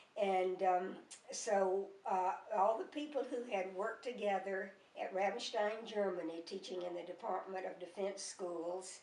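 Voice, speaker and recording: With a Mississippi accent, a woman speaks at a medium pitch and a fairly slow pace, her intonation fairly even. Audible room echo and noticeable background noise come through. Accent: Southern US (Mississippi). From US South, Mississippi. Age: 80s+. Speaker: grandmother. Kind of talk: oral history interview. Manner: halting, many fillers.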